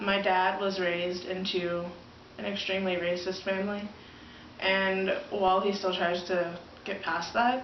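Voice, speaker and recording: Over noticeable background noise and audible room echo, a speaker with an American accent talks in a flat monotone at a fairly slow pace. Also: woman, medium pitch for a woman. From southern Ohio, Scioto County. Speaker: college student interviewee. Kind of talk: interview.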